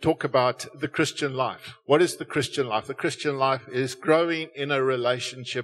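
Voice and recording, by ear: The clip is someone reading aloud. It's done in a natural voice.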